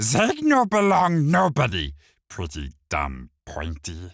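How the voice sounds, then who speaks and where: A man's put-on character voice, medium in pitch, hissing, at a fairly slow pace. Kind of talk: broken, simple speech. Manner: hissing, defiant.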